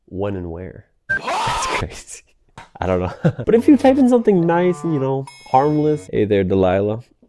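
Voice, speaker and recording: Music plays in the background as a man talks at a moderate pace. His loudness swings widely. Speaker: tech YouTuber. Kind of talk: casual vlog narration. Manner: casual, informal.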